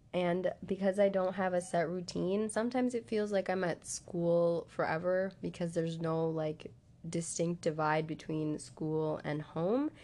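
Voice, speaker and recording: In an American accent, the speaker has an unremarkable speaking voice, moving at a fairly slow pace with ordinary pitch variation. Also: woman, fairly low pitch for a woman. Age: young. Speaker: college student. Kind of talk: interview answers.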